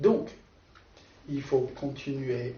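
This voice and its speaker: Over noticeable background noise and audible room echo, a man speaks at a fairly high pitch with a non-native accent. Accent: foreign accent in French. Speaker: preacher. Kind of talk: sermon. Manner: halting.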